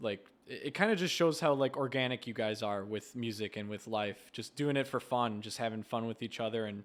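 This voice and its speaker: Recorded very cleanly against a silent background, a man with an American accent and an unremarkable speaking voice talks at a fairly quick pace, with medium pitch and ordinary pitch variation. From USA. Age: 30s. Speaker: interviewer. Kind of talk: interview.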